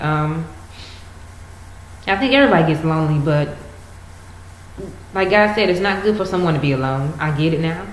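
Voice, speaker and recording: With noticeable background noise, a woman speaks at a fairly low pitch with lively intonation and long, frequent pauses. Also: fairly quick pace. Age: 20s. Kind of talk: casual talk to camera.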